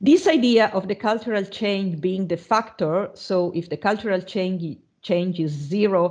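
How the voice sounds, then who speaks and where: In an Italian accent, a woman talks at a medium pitch with ordinary pitch variation. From Italy. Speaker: university lecturer. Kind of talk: online lecture. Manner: halting, many fillers.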